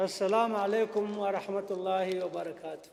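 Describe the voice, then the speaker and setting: Moderate pace over noticeable background noise. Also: man. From Niger. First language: French. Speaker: visiting foreign politician. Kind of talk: formal address. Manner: halting.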